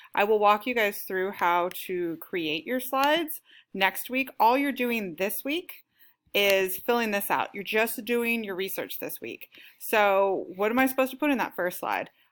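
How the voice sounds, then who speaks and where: In a very clean recording with a silent background, a woman with an unremarkable speaking voice, medium pitch and ordinary pitch variation talks at a fairly slow pace. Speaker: teacher. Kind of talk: lesson.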